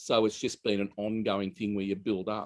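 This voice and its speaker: Fairly low in pitch, a man speaks with an Australian accent. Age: 60s. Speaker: hairdresser. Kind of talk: interview.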